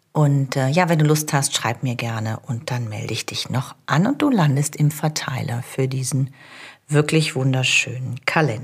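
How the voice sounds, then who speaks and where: Somewhat breathy, a woman's very deep, low voice moves at a moderate pace with ordinary pitch variation. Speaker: coach and podcast host. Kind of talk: solo coaching podcast.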